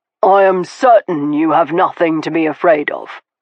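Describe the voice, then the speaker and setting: Someone in a put-on character voice speaks at a middle pitch and a moderate pace, with ordinary pitch variation. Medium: read story. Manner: blunt, skeptical.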